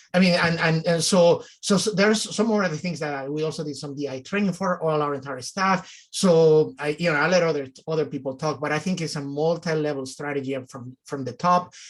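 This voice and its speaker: A man talks with a Mexican accent at a fairly high pitch. His pace is moderate and his intonation fairly even. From Mexico City, Mexico. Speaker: nonprofit executive director. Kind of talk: panel discussion.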